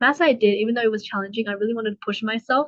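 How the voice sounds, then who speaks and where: A woman with an Australian accent speaks at a fairly high pitch with ordinary pitch variation. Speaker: university student, scholarship winner. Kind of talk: casual interview. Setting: livestreamed seminar.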